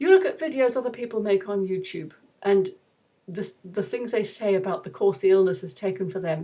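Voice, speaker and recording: A woman's plain, everyday voice at a medium pitch with ordinary pitch variation. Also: fairly quick pace. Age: 60s. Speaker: YouTube vlogger. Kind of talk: casual monologue vlog.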